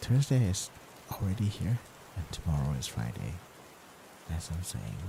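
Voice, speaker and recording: A soft-spoken man talks at a moderate pace. His very deep, low voice moves in very wide pitch swings. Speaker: VTuber streamer. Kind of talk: bedtime ASMR chat stream. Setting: lying in bed, live stream.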